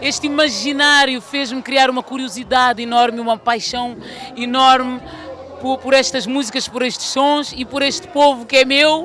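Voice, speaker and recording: The pace is fairly slow, and noticeable background noise runs through the clip. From Portugal, Lisbon. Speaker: singer. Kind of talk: interview. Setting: music festival.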